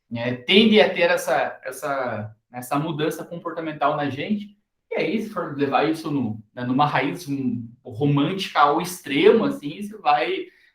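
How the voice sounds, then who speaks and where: Audible room echo surrounds a man speaking at a fairly high pitch and a fairly slow pace, with lively intonation and hardly any pauses. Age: 30s. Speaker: university lecturer. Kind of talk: recorded lecture. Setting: recorded class video. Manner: hesitant, many fillers.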